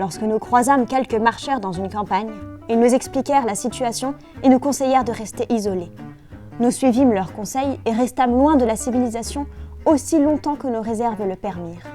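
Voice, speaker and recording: Over music in the background, a woman speaks at a moderate pace in a fairly high voice. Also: ordinary pitch variation. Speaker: author reading her own book. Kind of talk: children's story reading.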